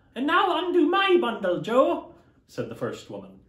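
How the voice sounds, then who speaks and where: A man speaks at a moderate pace with audible room echo. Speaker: costumed storyteller. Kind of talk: dramatic reading of a classic novel with character voices. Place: home room.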